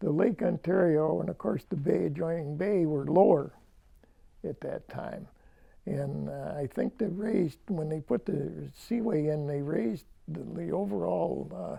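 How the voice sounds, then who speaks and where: A man with a western New York accent speaks at a fairly slow pace. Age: 90s. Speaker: local elder. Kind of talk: oral history interview. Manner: halting.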